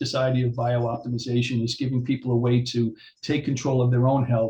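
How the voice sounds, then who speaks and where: With an American accent, a man at medium pitch talks at a fairly quick pace in a somewhat breathy, monotone voice with flat intonation. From New York, Long Island. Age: 60s. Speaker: chiropractor. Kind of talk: interview. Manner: hesitant, filler-heavy.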